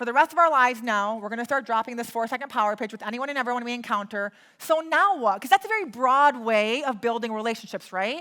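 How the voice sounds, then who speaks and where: Her tone bright and sharp, a woman speaks very fast at a high pitch with lively intonation. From US Midwest. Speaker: real estate investor and private money coach. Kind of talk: live workshop teaching.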